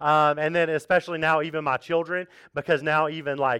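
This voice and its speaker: A man's fairly high-pitched, unremarkable speaking voice at a fairly quick pace, over a quiet background. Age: 30s. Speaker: pastor. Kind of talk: sermon. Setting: church. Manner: casual, conversational with fillers.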